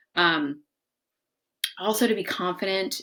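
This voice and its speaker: Speaking at a moderate pace, a woman shows medium pitch, very wide pitch swings and vocal fry. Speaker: psychotherapist and life coach. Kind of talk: casual talk-to-camera advice monologue. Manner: casual, filler-heavy.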